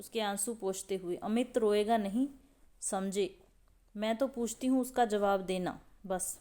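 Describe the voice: The clip is plain reading aloud. That is its whole delivery.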